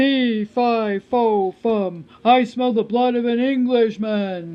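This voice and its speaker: The voice is a put-on character voice, bellowing at a fairly high pitch. The pace is very slow. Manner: roaring.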